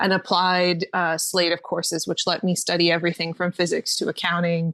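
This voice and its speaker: In a very clean recording with a silent background, a woman speaks with a Canadian accent. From Ontario, Canada. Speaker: marketing expert and writer. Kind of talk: interview.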